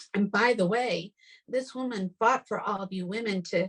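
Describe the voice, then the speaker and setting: A woman speaks in an animated tone with a fairly high pitch and ordinary pitch variation. Her voice is somewhat breathy. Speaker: podcast host. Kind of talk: casual chat.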